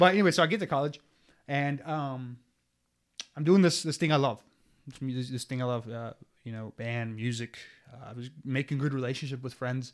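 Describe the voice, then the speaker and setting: There are long, frequent pauses and big swings in loudness as a man speaks at a medium pitch with ordinary pitch variation. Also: fairly quick pace. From US, Mexican-American family. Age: 20s. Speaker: seminarian discerning priesthood. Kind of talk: personal testimony. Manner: casual, halting with many fillers.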